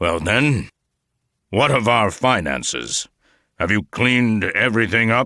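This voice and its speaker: In a put-on character voice, a man rumbles with a raspy medium pitch and lively intonation at a moderate pace, leaving long, frequent pauses in a dry, close sound with no echo. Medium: read story. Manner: terse, authoritative.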